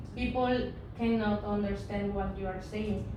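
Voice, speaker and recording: There is audible room echo around the voice. A woman speaks with a Spanish accent. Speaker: English teacher. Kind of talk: lecture. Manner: halting.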